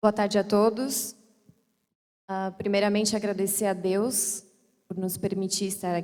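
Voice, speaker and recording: A woman's medium-pitched voice, monotone and flat, at a fairly slow pace with long, frequent pauses. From Criciúma, Santa Catarina, Brazil. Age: 30s. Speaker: mayoral candidate, lawyer. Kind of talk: campaign speech at church debate. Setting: church event with live audience.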